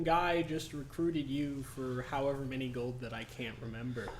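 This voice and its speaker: A man with a fairly high pitch and ordinary pitch variation talks at a moderate pace amid noticeable background noise and audible room echo. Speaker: dungeon master. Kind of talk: tabletop game narration. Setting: livestream. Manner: quiet; soft-spoken.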